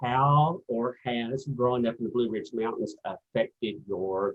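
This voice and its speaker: A man speaks at a medium pitch. He talks with a Virginia accent. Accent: Southern US (Virginia). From US South, southwest Virginia coal fields. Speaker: interviewer, sewing channel host. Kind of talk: interview conversation.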